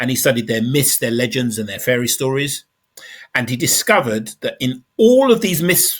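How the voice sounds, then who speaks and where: A somewhat breathy man speaks at a fairly quick pace with very wide pitch swings. The recording is very clean, with a silent background. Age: 50s. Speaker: podcast host. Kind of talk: casual interview chat.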